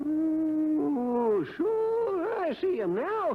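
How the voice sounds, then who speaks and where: A put-on character voice with a high pitch. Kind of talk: 1950s radio acting. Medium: old radio play. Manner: folksy, rambling.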